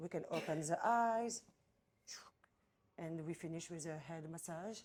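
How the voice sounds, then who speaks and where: With a French accent, a woman speaks in a dark, mellow tone at a fairly low pitch, using ordinary pitch variation. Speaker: massage therapist and trainer. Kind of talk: explaining treatment. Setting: spa treatment room. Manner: halting non-native English.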